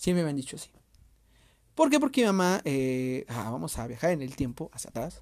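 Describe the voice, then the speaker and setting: On a very clean recording with a silent background, a man with a fairly high pitch speaks at a moderate pace. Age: 20s. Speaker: podcast host and youtuber. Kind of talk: casual monologue. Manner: halting.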